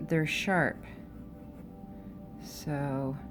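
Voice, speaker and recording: A woman with an American accent speaks at a very slow pace in a relaxed tone with ordinary pitch variation. Music plays in the background. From Oakland, California. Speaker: artist. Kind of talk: casual narration while drawing, stream of consciousness. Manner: relaxed, thinking aloud.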